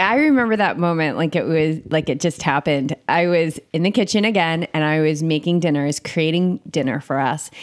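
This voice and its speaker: A woman with an American accent speaks in a normal speaking voice at a moderate pace, with hardly any pauses, ordinary pitch variation and very even loudness. The recording is very clean, with a silent background. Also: fairly low pitch for a woman. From US Northeast, Cape Cod. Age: 40s. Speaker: meditation and yoga coach. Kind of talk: casual interview chat.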